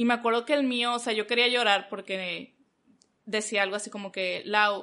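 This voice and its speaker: A woman with a bright, sharp tone talks at a fairly quick pace, her medium pitch held in fairly even intonation. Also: quiet background. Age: 20s. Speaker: communications graduate and church volunteer. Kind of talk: casual chat.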